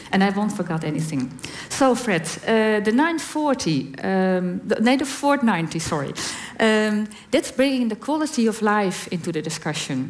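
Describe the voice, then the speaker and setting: A woman with a Dutch accent speaks at a fairly slow pace. Her fairly high pitch makes very wide swings. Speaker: HIV community representative on panel. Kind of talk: reading prepared answer aloud.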